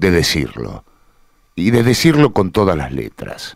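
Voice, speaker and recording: A man speaks at a fairly slow pace and a fairly low pitch. His voice moves in very wide pitch swings. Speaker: radio host. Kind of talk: radio editorial commentary.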